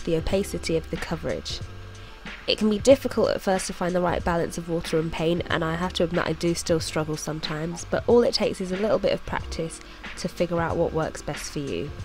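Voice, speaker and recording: Speaking fairly quickly, a woman is heard with music behind her. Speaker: artist, illustrator. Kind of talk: tutorial voice-over.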